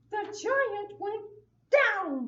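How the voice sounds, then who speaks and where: A cartoonish character voice with very wide pitch swings. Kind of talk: children's church puppet show. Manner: buzzing, playful.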